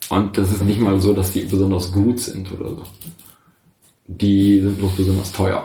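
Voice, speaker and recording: Long, frequent pauses break up a man's moderate pace. His fairly low voice stays monotone and flat, with audible room echo. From northern Germany, Osnabrück area. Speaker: chronic pain patient. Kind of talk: casual chat. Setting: shared table mic, several people in one room. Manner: halting. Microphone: poor audio quality.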